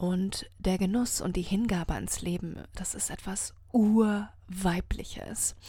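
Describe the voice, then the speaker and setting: A woman speaks at a medium pitch with a dark, mellow tone that is somewhat breathy. Her delivery is very slow, with monotone, flat intonation. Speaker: podcast host and happiness coach. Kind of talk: solo inspirational monologue. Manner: slow, savouring.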